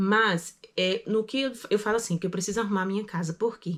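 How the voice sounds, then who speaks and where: In a very clean recording with a silent background, a woman speaks with ordinary pitch variation. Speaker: vlogger. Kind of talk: casual vlog monologue. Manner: fast.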